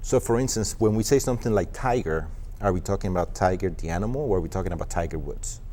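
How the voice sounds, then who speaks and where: A man with a Spanish accent talks at a very fast pace. His pitch is fairly low, with ordinary pitch variation. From Colombia. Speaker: online marketing executive. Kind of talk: TV interview.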